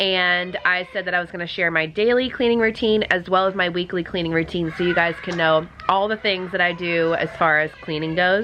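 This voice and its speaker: Against noticeable background noise, a woman with fairly low pitch talks at a fairly quick pace with fairly even intonation. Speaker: cleaning vlogger. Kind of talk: casual vlog talk.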